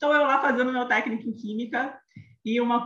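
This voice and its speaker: A woman speaks in a Rio de Janeiro accent. Her tone is animated. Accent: carioca (Rio). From Rio de Janeiro, Brazil. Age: 30s. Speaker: image consultant. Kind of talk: podcast interview, telling her career story.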